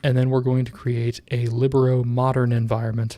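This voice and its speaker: A man with a dark, mellow tone and a medium pitch. His voice is somewhat breathy, with fairly even intonation. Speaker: tech tutorial youtuber. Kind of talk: tutorial. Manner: casual with many fillers.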